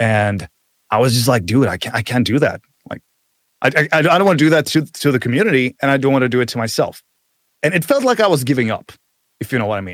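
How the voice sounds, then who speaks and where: Speaking very fast with lively intonation yet long, frequent pauses, a man with a Czech accent and medium pitch is heard in a dry, close sound with no echo. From Czech Republic. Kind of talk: casual chat. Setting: video call, remote guest.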